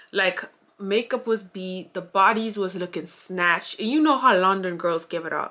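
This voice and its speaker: With a strong Grenadian accent, a woman speaks at a fairly slow pace in a bright, sharp tone. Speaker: YouTuber. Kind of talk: storytime vlog. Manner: animated.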